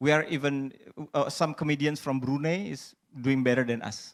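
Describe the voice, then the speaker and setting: This man speaks with an Indonesian accent. His pitch is fairly high, and his pace is moderate. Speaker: stand-up comedian. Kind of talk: panel discussion. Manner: halting.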